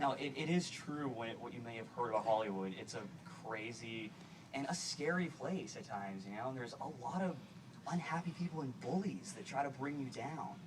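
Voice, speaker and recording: A man with an American accent, fairly high in pitch and lively in intonation, at a fairly quick pace amid noticeable background noise and audible room echo. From US Northeast, Boston. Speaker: actor and guest speaker. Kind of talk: public speech. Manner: halting, repetitive. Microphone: poor video quality.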